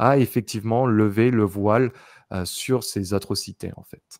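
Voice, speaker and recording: Against a quiet background, a man talks at a very slow pace and medium pitch, the sound dry with no echo. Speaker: YouTuber psychic. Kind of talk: casual chat with clairvoyant readings. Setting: video recording with screen backdrop. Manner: many filler sounds and hesitations. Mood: calm, reflective. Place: home room. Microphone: studio mic.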